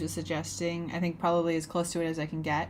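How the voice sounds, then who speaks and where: Audible room echo surrounds a woman whose voice sits at a fairly low pitch. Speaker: artist live-streamer. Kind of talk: casual live stream chat while drawing. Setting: home studio live stream.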